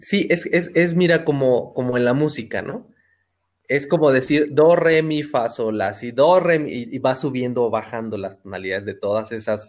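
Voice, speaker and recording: With lively intonation, a man of medium pitch speaks at a moderate pace. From Mexico, Hidalgo (Pachuca). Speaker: painter and architect. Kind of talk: interview conversation. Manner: halting.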